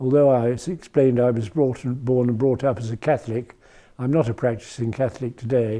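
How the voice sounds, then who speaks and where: Speaking with a British accent, a man uses a fairly quick pace and a medium pitch. His tone is dark and mellow with ordinary pitch variation, and the background is quiet. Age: 80s+. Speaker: retired foreign correspondent. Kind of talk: interview answer. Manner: hesitant, reflective.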